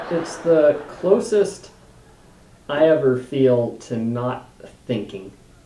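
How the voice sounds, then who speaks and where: Over noticeable background noise, a man with a fairly high pitch speaks at a very slow pace, with very wide pitch swings and long, frequent pauses. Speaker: stand-up comedian. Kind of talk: interview answer, reflective talk about his comedy. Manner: soft-spoken.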